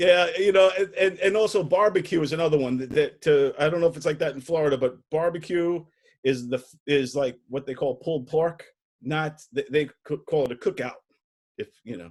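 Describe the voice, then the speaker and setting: A man with a New York accent at a fairly high pitch, fairly quick in pace, with ordinary pitch variation and big swings in loudness. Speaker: comedy show host. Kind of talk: casual interview.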